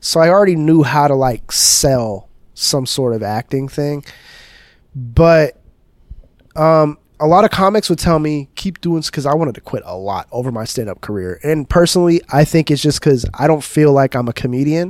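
With a normal speaking voice, a man talks at a moderate pace with a fairly high pitch and lively intonation. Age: 30s. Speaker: comedian and content creator. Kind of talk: casual chat.

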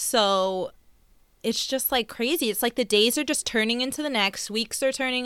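A woman with a New York accent and a fairly high pitch talks at a moderate pace in a bright, sharp tone with ordinary pitch variation, on a very clean recording with a silent background. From Long Island, New York. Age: 20s. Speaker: podcast co-host. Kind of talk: casual chat.

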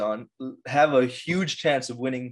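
A man at medium pitch, a normal speaking voice, moderate in pace. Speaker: podcast co-host, computer science student. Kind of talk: casual chat.

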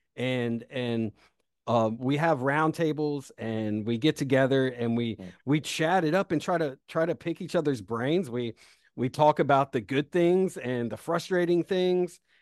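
A man with an American accent speaks in an ordinary speaking voice, fairly high-pitched with ordinary pitch variation, at a fairly slow pace, in a dry, close sound with no echo against a quiet background. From South Carolina, US South. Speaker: startup founder and CEO. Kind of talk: interview.

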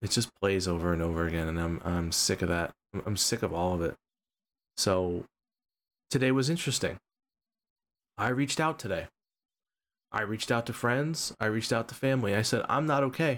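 Speaking at a fairly quick pace yet with long, frequent pauses, a man uses lively intonation in a very clean recording with a silent background. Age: 40s. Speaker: podcast co-host and streamer. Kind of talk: casual chat. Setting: live stream.

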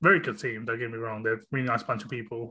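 Against a quiet background, a man with a British accent speaks in a bright, sharp tone at medium pitch. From UK. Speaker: podcast host. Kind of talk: casual chat.

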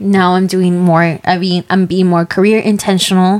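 In an unremarkable speaking voice of medium pitch, a woman talks at a moderate pace with fairly even intonation. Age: 20s. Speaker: podcast co-host. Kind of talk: casual chat.

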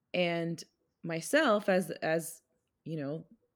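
In a very clean recording with a silent background, a woman with a plain, everyday voice speaks at a fairly low pitch with ordinary pitch variation. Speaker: podcast co-host and school speech-language pathologist. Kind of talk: casual chat.

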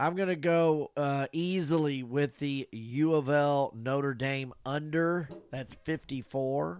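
A man's fairly high voice at a very slow pace, with ordinary pitch variation and music in the background. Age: 60s. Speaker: podcast co-host. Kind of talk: casual sports chat. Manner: animated.

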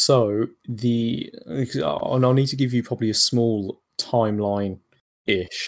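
Speaking at a very slow pace, a man with a British accent uses a medium pitch and fairly even intonation. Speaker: bot developer. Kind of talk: interview.

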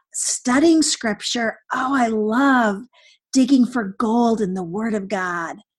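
At a fairly slow pace, a woman speaks in a somewhat breathy, animated tone with ordinary pitch variation over a quiet background. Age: 60s. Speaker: author and women's conference speaker. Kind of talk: interview conversation. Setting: podcast.

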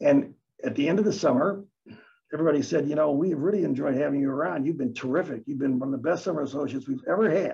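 In an American accent, a somewhat breathy speaker talks with a dark, mellow tone and ordinary pitch variation. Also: man. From US Midwest, east side of Detroit. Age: 80s+. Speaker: real estate lawyer. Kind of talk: interview.

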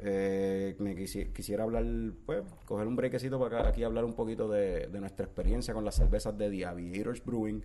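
Audible room echo surrounds a man talking at a fairly quick pace. His voice is fairly low and dark, mellow in tone, with fairly even intonation. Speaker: podcast host. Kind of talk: casual chat.

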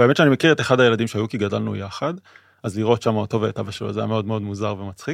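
A man at a very fast pace, fairly low in pitch, with ordinary pitch variation, a quiet background and a dry, close sound free of echo. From Israel. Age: 30s. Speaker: podcast co-host, philosophy student. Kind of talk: casual chat.

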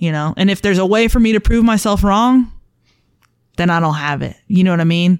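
A woman in a normal speaking voice talks at a fairly quick pace and medium pitch with ordinary pitch variation. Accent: American. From Buffalo, New York. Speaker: police officer and canine handler. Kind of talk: casual interview.

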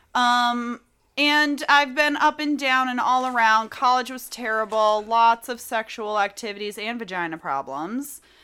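A woman's high-pitched, bright and sharp voice at a fairly slow pace, with ordinary pitch variation, in a very clean recording over a silent background. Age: 30s. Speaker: podcast co-host. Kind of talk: casual chat.

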